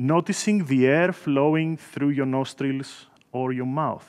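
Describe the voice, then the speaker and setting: The setting behind the voice is quiet. A man talks at a very slow pace. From Greece. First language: Greek. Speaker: software engineer; conference speaker. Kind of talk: guided meditation; conference talk. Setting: stage with audience. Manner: halting.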